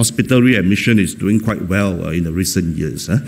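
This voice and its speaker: Audible room echo and noticeable background noise accompany fairly quick speech. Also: man. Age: 60s. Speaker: professor of psychology. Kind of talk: keynote lecture. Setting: conference stage with audience. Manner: fast; hesitant, many fillers and repetitions.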